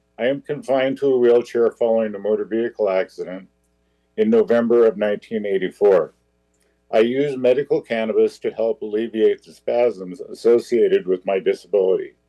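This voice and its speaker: The speech moves at a fairly quick pace. Its loudness swings widely. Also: man. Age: 60s. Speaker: veteran and public commenter. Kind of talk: public comment at council meeting. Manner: formal.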